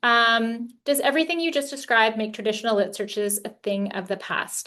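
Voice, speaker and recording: Over a quiet background, a woman talks in an ordinary speaking voice. Her pitch is fairly high and her pace moderate. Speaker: librarian leading a workshop. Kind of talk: workshop Q&A.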